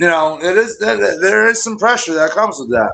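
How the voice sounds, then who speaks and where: The voice is loud, with a bright, sharp tone and a fairly quick pace. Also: man. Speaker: youth football coach. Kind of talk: casual chat.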